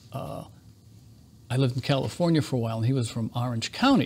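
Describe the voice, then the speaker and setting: A man with a somewhat breathy, medium-pitched voice speaks at a fairly quick pace but takes long, frequent pauses. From New England. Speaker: interview show host. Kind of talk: casual interview chat.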